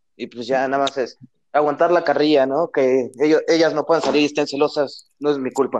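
A man with a Mexican accent speaks at a fairly quick pace and fairly high pitch. His intonation is monotone and flat. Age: 20s. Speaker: university student. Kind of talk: casual chat.

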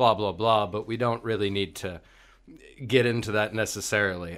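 A man with an American accent talks in a fairly low pitch. His intonation stays fairly even, and the recording is very clean with a silent background. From Northern California, Marin County. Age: 30s. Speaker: educator. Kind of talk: casual interview. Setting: studio.

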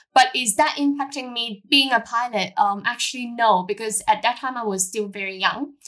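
A woman's fairly high, bright, sharp voice with a Cantonese accent and hardly any pauses. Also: ordinary pitch variation, moderate pace. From Hong Kong. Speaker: airline pilot. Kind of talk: interview. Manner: halting.

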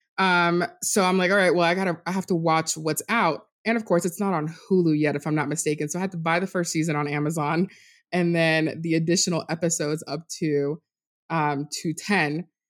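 A woman with an ordinary speaking voice, fairly low in pitch, fairly quick in pace, and fairly even in intonation. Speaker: fan podcast guest. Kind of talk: casual chat. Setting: remote group call. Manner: laughs often.

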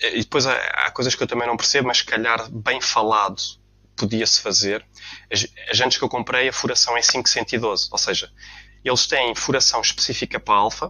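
A man speaks in a plain, everyday voice at a medium pitch, with fairly even intonation. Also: moderate pace. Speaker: car enthusiast. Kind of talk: casual chat.

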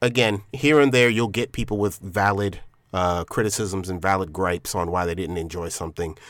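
An unremarkable speaking voice from a man, fairly low-pitched with ordinary pitch variation, at a moderate pace, on a very clean recording with a silent background. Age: 30s. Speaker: podcast host. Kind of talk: solo monologue. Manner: casual, with frequent fillers.

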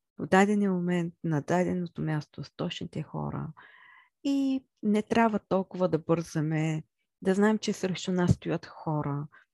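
At a fairly slow pace, a woman with a fairly low pitch and ordinary pitch variation speaks with big swings in loudness, in a dry, close sound with no echo. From central Bulgaria (Chirpan). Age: 30s. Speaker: podcast host. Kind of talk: monologue about herself. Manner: halting, with many fillers.

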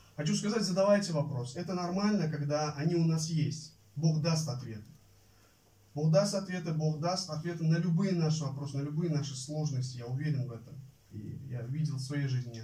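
This man's voice sits fairly high in pitch, with a dark, mellow tone and a somewhat breathy quality. He talks at a fairly quick pace with ordinary pitch variation, and the room echo is audible. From Uzbekistan. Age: 20s. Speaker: Bible college student preacher. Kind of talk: sermon. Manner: halting, many filler sounds.

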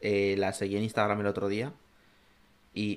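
A man speaks at a moderate pace. His voice sits at a fairly low pitch. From Zaragoza, Spain. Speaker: podcast co-host. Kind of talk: casual chat.

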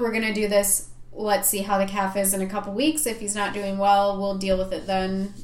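A woman with an Upper Peninsula Michigan accent speaks at a medium pitch amid audible room echo and noticeable background noise. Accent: Upper Midwest (Yooper). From Michigan, Upper Peninsula. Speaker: veterinarian and podcast co-host. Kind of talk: casual chat.

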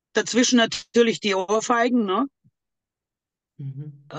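This woman's voice has a dry, close sound with no echo. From Greece, Thessaloniki. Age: 50s. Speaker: abuse survivor. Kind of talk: testimony.

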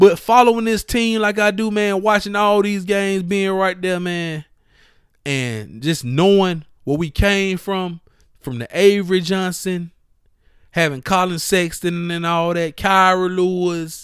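This man's voice is high in pitch. It varies in pitch in an ordinary way. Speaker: sports podcast host. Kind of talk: angry rant about a basketball team's losses. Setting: podcast recording. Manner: exasperated, pleading, scolding.

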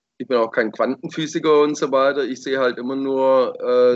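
The voice belongs to a man with a medium pitch. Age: 40s. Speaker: podcast host. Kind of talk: casual chat.

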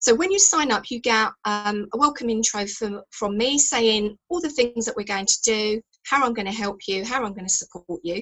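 A woman with an English accent speaks at a moderate pace and fairly high pitch, with ordinary pitch variation. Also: hardly any pauses. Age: 50s. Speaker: fitness expert. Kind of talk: radio interview.

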